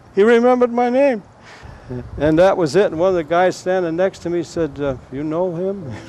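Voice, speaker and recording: Lively intonation at a moderate pace, with an American accent, against noticeable background noise. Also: man, high pitch for a man. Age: 70s. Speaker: local golf historian. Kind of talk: oral history storytelling. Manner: halting.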